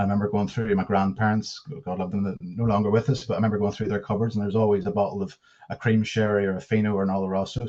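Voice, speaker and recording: A man with a Northern Irish accent talks very fast at a fairly low pitch, his tone dark and mellow and his intonation fairly even. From Northern Ireland, near Belfast. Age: 30s. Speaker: whiskey brand ambassador. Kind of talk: presentation. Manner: halting, many fillers.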